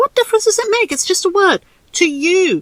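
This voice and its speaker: A squeaky, female-sounding put-on character voice runs at a fairly quick pace and an extremely high pitch. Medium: read story. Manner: playful, provocative.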